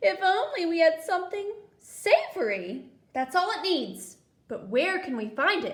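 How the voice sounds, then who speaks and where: At a moderate pace, a woman performs a put-on character voice. Her pitch is extremely high. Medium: read story. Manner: coaxing, playful.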